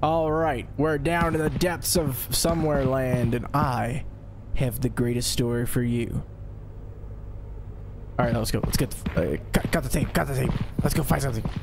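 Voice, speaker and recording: A man puts on a theatrical, playful character voice at a medium pitch and a moderate pace, with long, frequent pauses over loud background noise. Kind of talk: mock documentary narration. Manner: theatrical, overdramatic, playful.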